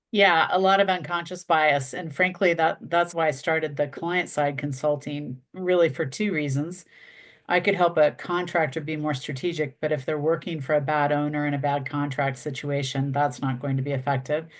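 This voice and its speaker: A woman with a very deep, low pitch, fairly even intonation and a moderate pace, against a quiet background. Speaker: construction industry consultant. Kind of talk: podcast interview.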